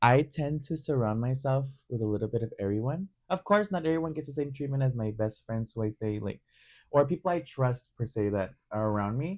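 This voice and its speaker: The intonation is lively. Speech moves at a fairly quick pace. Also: man, medium pitch for a man, quiet background. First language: Spanish. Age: 20s. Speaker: podcast host. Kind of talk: casual chat.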